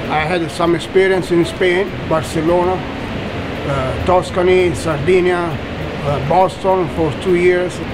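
A man speaking at a very slow pace, with loud background noise. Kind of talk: interview answer. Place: kitchen.

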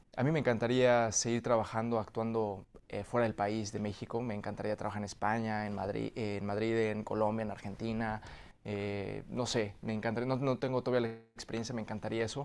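Monotone, flat intonation marks a man's fairly quick delivery. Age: 30s. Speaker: actor. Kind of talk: interview. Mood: warm, grateful. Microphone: video call.

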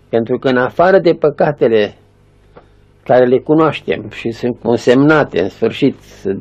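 A man's fairly high voice with a dark, mellow tone, ordinary pitch variation and a fairly slow pace. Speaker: elderly monk, spiritual elder. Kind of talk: spiritual sermon or teaching. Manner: earnest, didactic. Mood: calm, earnest, gentle. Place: home room.

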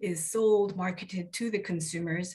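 Somewhat breathy female speech at a moderate pace, with a quiet background. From South Korea. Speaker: consumer advocate and lawyer; lawyer. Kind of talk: panel discussion. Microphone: video call.

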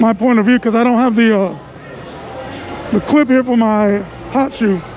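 Amid noticeable background noise and audible room echo, a woman speaks at a moderate pace with fairly even intonation. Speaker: street photographer vlogger. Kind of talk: casual vlog narration. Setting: outdoors on city street at night. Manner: casual, filler words. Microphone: muffled by mask.

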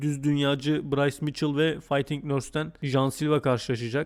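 At a moderate pace, a man speaks in a fairly high, monotone voice with flat intonation. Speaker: MMA YouTuber. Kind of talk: fight preview commentary. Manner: casual, joking.

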